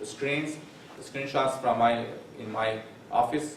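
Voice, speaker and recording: A man speaks at a medium pitch and a fairly slow pace, with ordinary pitch variation. Background noise is noticeable, and room echo is audible. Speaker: professor. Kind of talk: lecture. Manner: halting.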